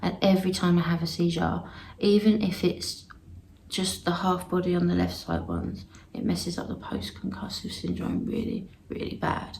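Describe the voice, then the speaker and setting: A woman talks at a moderate pace in a space with audible room echo. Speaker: vlogger sharing health experience. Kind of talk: personal video diary. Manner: halting, many fillers.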